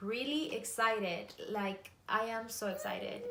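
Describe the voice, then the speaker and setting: Noticeable background noise and audible room echo surround the speech. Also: woman. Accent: Spanish. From Mexico. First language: Spanish. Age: 30s. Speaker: makeup artist and beauty vlogger. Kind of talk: makeup tutorial.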